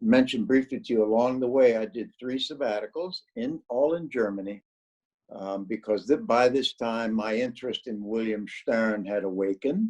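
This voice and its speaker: Speaking with a Midwestern accent, a man keeps a moderate pace. The sound is dry and close, without echo. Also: medium pitch for a man, ordinary pitch variation. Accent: general American (Midwest). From US Midwest, northeast Ohio. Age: 70s. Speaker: retired psychology professor. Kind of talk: interview. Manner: halting, with many fillers.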